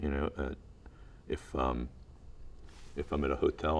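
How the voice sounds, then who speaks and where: Vocal fry runs through a man's very deep, low voice as he talks at a fairly quick pace. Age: 60s. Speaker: talent manager and film producer. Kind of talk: interview. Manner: halting.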